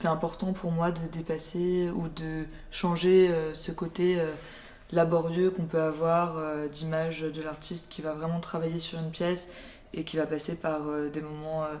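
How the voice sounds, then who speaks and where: A woman with a fairly low voice speaks at a fairly slow pace in a flat monotone, with audible room echo. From France, Burgundy (Dijon). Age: 20s. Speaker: visual artist. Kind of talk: interview monologue. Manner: hesitant, many filler sounds.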